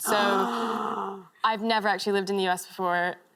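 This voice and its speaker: Noticeable background noise sits behind a woman with an American accent and medium pitch. Her intonation is lively and her loudness very even. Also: moderate pace. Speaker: interviewee.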